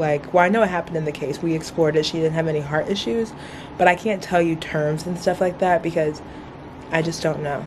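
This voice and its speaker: A fairly low-pitched woman talking at a fairly quick pace against noticeable background noise. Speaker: medical student vlogger. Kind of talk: casual vlog. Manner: quiet, trying not to wake roommate.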